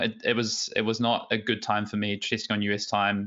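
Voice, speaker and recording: There is a man with an Australian accent whose pitch sits fairly low. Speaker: competitive card game player. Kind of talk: casual interview.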